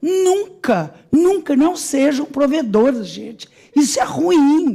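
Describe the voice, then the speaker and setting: A woman with a high pitch talks at a very slow pace. Her intonation is lively. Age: 70s. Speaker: audience participant. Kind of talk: public hearing speech. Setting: legislative assembly hearing.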